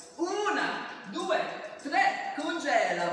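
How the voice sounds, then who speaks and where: A woman speaks very slowly in an extremely high voice. The room echoes strongly, with light noise in the background. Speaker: fitness instructor. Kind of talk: workout instruction. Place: home room. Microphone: camera far.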